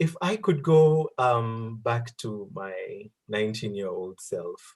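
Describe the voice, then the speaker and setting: The voice is somewhat breathy. The pace is very slow. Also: man. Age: 30s. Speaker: career talk guest. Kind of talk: online group Q&A interview.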